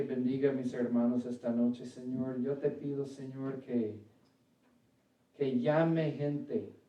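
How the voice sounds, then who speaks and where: In an English accent, this speaker's dark, mellow tone moves at a fairly slow pace with fairly even intonation, and audible room echo fills the space. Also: man. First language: English (speaking Spanish). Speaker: preacher. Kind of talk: sermon; prayer. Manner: halting, self-correcting.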